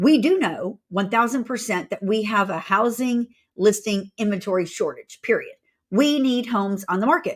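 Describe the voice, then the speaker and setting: A woman's animated, somewhat breathy voice with an American accent, fairly high pitch and lively intonation, on a very clean recording with a silent background. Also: moderate pace. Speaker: real estate agent and company owner. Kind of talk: casual market update vlog.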